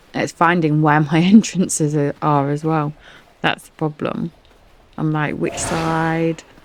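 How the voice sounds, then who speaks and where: Speaking in an English accent, a woman talks at a fairly slow pace in a very deep, low pitch with monotone, flat intonation. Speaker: gaming streamer. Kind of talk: gameplay commentary. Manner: casual, rambling; quiet, softened voice.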